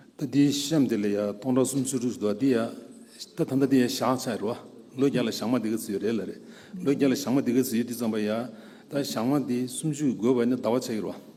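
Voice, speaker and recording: Audible room echo surrounds a man speaking at a very fast pace in a dark, mellow tone. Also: medium pitch for a man, fairly even intonation. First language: Dzongkha or Tibetan. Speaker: scholar speaker at a conference. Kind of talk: lecture.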